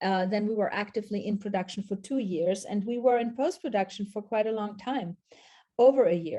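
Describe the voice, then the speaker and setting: In a German accent, a woman speaks at medium pitch and a moderate pace with a dark, mellow tone. The background is quiet. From Austria/Switzerland, multilingual upbringing. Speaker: documentary filmmaker and professor. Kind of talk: interview.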